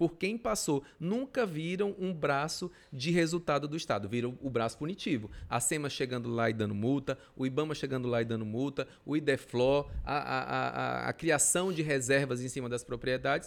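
An unremarkable speaking voice from a man, fairly high in pitch, with lively intonation, a moderate pace and hardly any pauses. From western Pará, Brazil (Rurópolis, Uruará, Altamira). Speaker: state politician. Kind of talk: casual interview.

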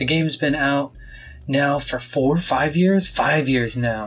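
A man's somewhat breathy voice sits at a fairly high pitch and shows ordinary pitch variation. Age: 30s. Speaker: part-time podcast co-host. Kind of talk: casual chat.

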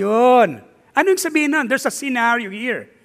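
Raised and projected, a man's extremely high voice comes across bright and sharp with lively intonation, on a very clean recording with a silent background. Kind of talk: sermon. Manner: animated, energetic, call-and-response with the congregation; Taglish, conversational, warm and humorous.

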